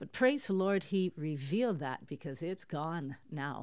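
With a Canadian accent, a woman talks at a fairly slow pace, her pitch swinging very widely. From Toronto, Canada. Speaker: prophetic minister. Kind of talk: interview.

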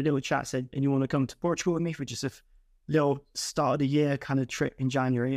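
Speaking at a very fast pace in a southern English accent, a man with a fairly high pitch keeps a monotone, flat intonation, captured in a dry, close sound with no echo on a very clean recording with a silent background. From southern England. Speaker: podcast co-host. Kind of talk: casual chat.

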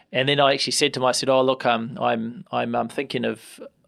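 With a New Zealand accent, a man talks at a fairly quick pace. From New Zealand, Hamilton. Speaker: member of parliament. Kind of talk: interview. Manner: halting, many repetitions and fillers.

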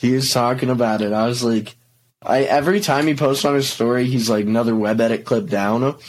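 A man with an American accent and an ordinary speaking voice talks at a fairly quick pace. His pitch is medium, with ordinary variation. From Colorado, Boulder area. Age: young. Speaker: scooter videographer and rider. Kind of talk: casual chat.

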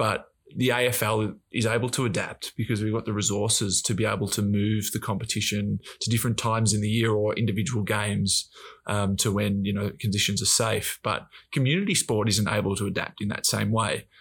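Over a silent background on a very clean recording, a man with an Australian accent speaks at a fairly quick pace, somewhat breathy, monotone and flat, at very even loudness. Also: fairly low pitch for a man. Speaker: professional footballer. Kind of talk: casual chat. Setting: studio.

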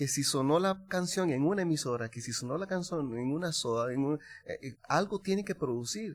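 A man with a Costa Rican accent talks at a moderate pace, his fairly high voice carrying lively intonation. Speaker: singer-songwriter. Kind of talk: casual chat.

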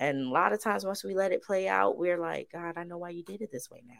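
In a very clean recording with a silent background, a woman with a fairly low pitch speaks at a fairly quick pace in an animated tone with lively intonation. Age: 30s. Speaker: podcast co-host. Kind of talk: casual Bible study chat. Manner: animated, laughing often.

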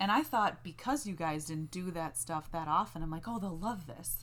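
A woman with an ordinary speaking voice talks at a moderate pace, her fairly low pitch carrying lively intonation. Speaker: podcast co-host. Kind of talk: casual banter between partners. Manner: calmer, stays in a lower pitch range.

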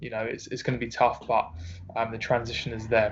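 This man speaks with an Essex accent at a medium pitch. His intonation is fairly even. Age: 20s. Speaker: personal trainer. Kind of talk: casual interview.

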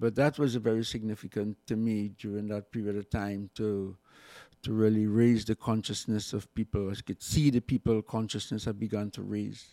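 Recorded very cleanly with a silent background and a dry, close sound free of echo, a man speaks at a moderate pace in a fairly low pitch, his dark, mellow tone held to a flat monotone. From Trinidad. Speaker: former revolutionary activist. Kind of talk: casual interview. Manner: halting, many repetitions.

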